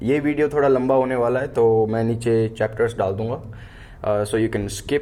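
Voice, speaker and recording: Fairly even in intonation, a man speaks at a medium pitch in a dark, mellow tone. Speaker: sound engineer, music tutorial YouTuber. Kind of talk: tutorial. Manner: casual with fillers and English code-switching.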